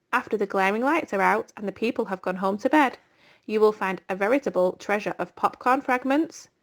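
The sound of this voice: Text is being read out. The reading voice is unforced.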